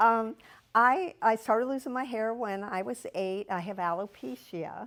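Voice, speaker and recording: Fairly high-pitched woman with an American accent, lively intonation and a fairly slow pace, on a very clean recording with a silent background. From US Midwest, Cincinnati, Ohio. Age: 60s. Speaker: shop customer sharing her story. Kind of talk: personal testimony interview. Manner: halting.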